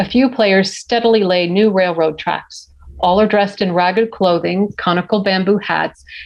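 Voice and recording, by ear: A natural voice, reading aloud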